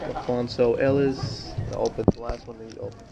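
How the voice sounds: Over faint background music, a man talks at a fairly quick pace with vocal fry, a dark, mellow tone, medium pitch and little pitch movement.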